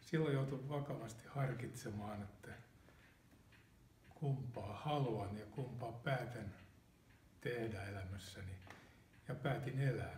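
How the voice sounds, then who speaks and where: The speech is very slow, with long, frequent pauses and ordinary pitch variation. Audible room echo surrounds it. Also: man, medium pitch for a man. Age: 70s. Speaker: retired automotive engineer, cancer patient. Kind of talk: interview testimony. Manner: halting, with repetitions and fillers. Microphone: poorly audible audio track.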